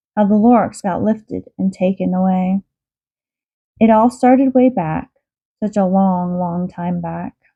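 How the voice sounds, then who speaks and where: A put-on, nasal character voice moves at a moderate pace with long, frequent pauses, in a dry, close sound with no echo. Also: woman, medium pitch for a woman. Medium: read story. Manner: secretive, grunting.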